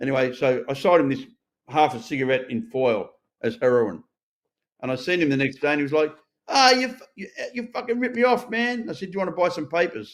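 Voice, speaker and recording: Talking at a very fast pace with an Australian accent, a man with a fairly high voice makes very wide pitch swings. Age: 60s. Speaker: recovered addict and ex-prisoner. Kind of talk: interview testimony. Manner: animated.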